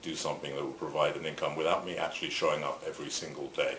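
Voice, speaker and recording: This man races along at a very fast pace. Noticeable background noise and audible room echo are both present. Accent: English. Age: 60s. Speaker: photographer and shirt company founder. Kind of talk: interview. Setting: on camera interview.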